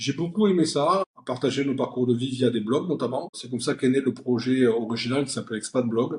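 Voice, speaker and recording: A man with a southern French accent speaks at a fairly quick pace, somewhat breathy. His medium pitch shows ordinary variation. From southern France (Perpignan). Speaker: company founder and CEO. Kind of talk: interview. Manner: hesitant, many fillers.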